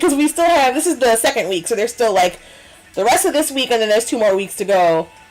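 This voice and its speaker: With very wide pitch swings and an animated tone, a woman speaks at a high pitch over noticeable background noise. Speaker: cosplayer and streamer. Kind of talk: casual chat.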